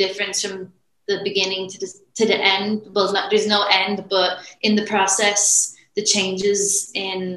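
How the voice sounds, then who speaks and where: In an Irish accent, a woman speaks at a fairly slow pace with a medium pitch and monotone, flat intonation. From Ireland. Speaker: women's strength coach. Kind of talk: interview.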